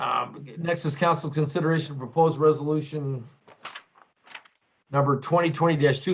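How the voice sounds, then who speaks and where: At a fairly quick pace, a man with a fairly high pitch speaks in a somewhat breathy voice with monotone, flat intonation. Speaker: mayor. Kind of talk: council meeting chairing. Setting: video conference.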